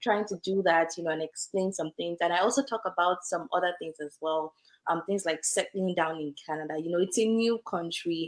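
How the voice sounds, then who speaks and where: A woman with an African accent, fairly low in pitch, fairly quick in pace, with ordinary pitch variation. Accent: African accent, kept. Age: young. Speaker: lawyer. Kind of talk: interview. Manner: conversational with fillers.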